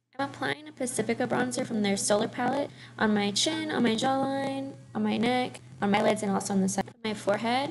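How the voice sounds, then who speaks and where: A woman's lively intonation and moderate pace come through noticeable background noise. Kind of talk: casual talk to camera. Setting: headset microphone, low quality.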